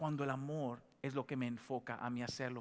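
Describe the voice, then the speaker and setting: A man is captured in a very clean recording against a silent background. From Dominican Republic. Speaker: pastor. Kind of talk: sermon. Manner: animated, call-and-response with congregation.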